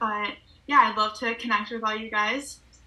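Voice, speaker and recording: Noticeable background noise accompanies a woman whose pitch is fairly high. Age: young. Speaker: college student and photographer. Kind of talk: casual interview.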